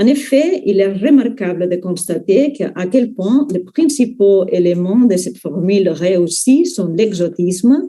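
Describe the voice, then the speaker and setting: Very slow and lively in intonation, a woman speaks at a medium pitch with a dark, mellow tone. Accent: non-native. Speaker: university researcher. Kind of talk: academic conference talk.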